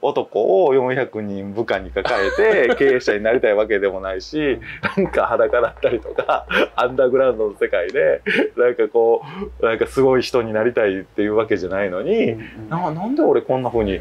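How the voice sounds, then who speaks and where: Light background noise sits behind a man talking at a fairly quick pace. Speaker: guest. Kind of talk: interview answer. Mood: relaxed, reflective, some laughing. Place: bar.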